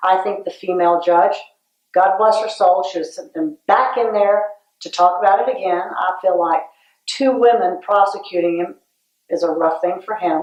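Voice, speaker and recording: A woman speaks at medium pitch and a moderate pace, with ordinary pitch variation. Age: 60s. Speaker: former patient. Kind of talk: interview testimony.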